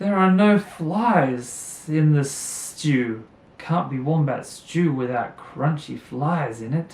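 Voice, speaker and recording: A man puts on a character voice at a fairly high pitch, with a hissing sound. He speaks at a very slow pace. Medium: read story.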